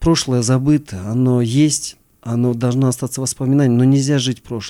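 A man's dark, mellow voice moves at a moderate speed, its intonation fairly even. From Kyrgyzstan, Issyk-Kul region. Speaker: mountaineer and former security officer. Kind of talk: interview.

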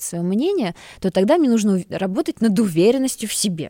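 On a very clean recording with a silent background and a dry, close sound with no echo, a woman speaks fairly quickly with lively intonation in a dark, mellow tone. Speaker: psychologist. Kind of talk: expert advice in podcast interview.

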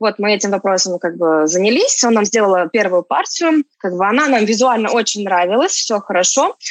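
A woman's medium-pitched voice at a moderate pace, lively in intonation, very even in loudness, with hardly any pauses. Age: 30s. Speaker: marketplace seller, entrepreneur. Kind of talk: interview. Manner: halting, many fillers.

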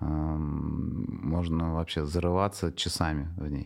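A man speaks in a very deep, low voice. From Tatarstan, Russia (Nizhnekamsk). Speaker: club promoter and DJ collective head. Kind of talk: casual interview.

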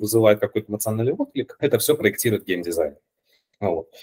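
Recorded dry and close with no echo, a man speaks at a medium pitch in a somewhat breathy voice. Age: 30s. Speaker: game design teacher. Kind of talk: casual chat.

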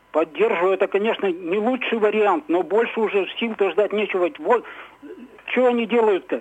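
A man talks in a high pitch, noticeable noise running in the background. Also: ordinary pitch variation, moderate pace, very even loudness. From Ukraine (Kirovohrad) until 6, then Izhevsk, Russia. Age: 60s. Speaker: radio caller. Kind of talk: phone-in opinion. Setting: phone call. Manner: halting.

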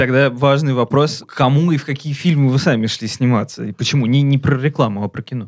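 A man's medium-pitched voice, a normal speaking voice with ordinary pitch variation and hardly any pauses. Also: fairly quick pace. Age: 20s. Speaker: film critic podcast co-host. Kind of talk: casual chat.

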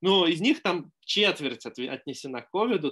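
An unremarkable speaking voice from a man, fairly high in pitch with lively intonation, against a quiet background. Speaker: vaccine scientist. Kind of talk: lecture. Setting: video call.

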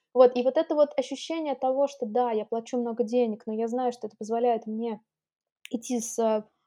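A woman's dark, mellow voice with fairly even intonation at a moderate pace, against a quiet background. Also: dry, close sound with no echo. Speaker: entrepreneur, consultant. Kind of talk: interview.

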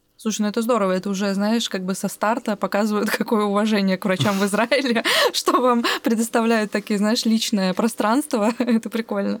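A woman speaks at a fairly high pitch. The sound is dry and close with no echo, and there is noticeable background noise. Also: ordinary pitch variation, fairly quick pace. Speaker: podcast host and producer. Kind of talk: casual interview.

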